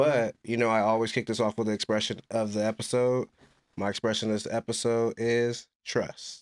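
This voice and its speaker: A man's medium-pitched voice at a moderate pace, dry and close with no echo, in a very clean recording with a silent background. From Compton, Southern California. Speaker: podcast host. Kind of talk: casual interview chat.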